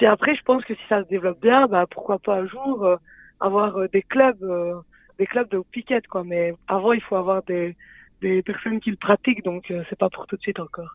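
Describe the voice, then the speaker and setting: Speaking in a plain, everyday voice, a woman keeps a medium pitch, a moderate pace and ordinary pitch variation. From Belgium, Liège. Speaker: sport co-creator, physical education graduate. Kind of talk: radio interview.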